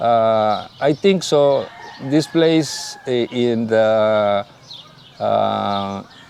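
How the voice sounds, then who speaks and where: A man speaks at a very slow pace, his loudness very even. His medium pitch has ordinary variation, over noticeable background noise. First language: Spanish. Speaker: leader of a search collective for missing people. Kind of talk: interview. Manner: halting.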